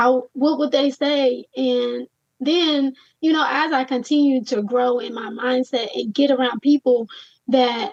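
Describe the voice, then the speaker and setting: Recorded with a dry, close sound and no echo, a woman speaks at a fairly slow pace in a high pitch with fairly even intonation. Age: 30s. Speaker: entrepreneur. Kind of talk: interview.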